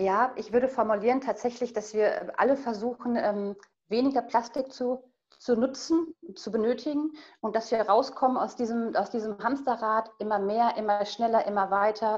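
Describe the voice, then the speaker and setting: At a moderate pace, a woman with an unremarkable speaking voice talks at a fairly high pitch, with ordinary pitch variation. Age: 40s. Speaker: guest on sustainable family living. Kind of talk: casual interview.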